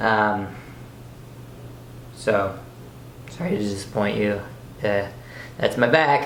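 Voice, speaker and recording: In a room with audible echo, a man speaks at a fairly slow pace. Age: young. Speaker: fitness youtuber with scoliosis. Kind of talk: casual Q&A vlog. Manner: halting, many fillers.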